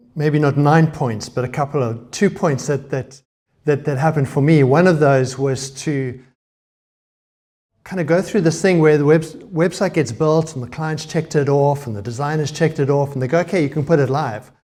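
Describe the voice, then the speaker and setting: In a South African accent, a man with a fairly high pitch talks at a moderate pace, his voice somewhat breathy with a dark, mellow tone. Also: ordinary pitch variation. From South Africa, Cape Town. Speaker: conference speaker, web developer. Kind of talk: conference talk. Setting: stage with audience.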